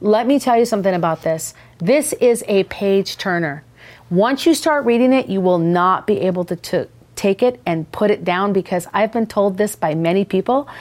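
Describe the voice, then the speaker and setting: A woman with an ordinary speaking voice, medium in pitch, at a moderate pace. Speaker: podcast host. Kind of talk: casual interview chat.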